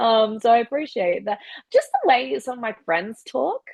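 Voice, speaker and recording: A woman with a strong Australian accent and a fairly high pitch. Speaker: professional wrestler. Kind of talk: casual chat. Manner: animated.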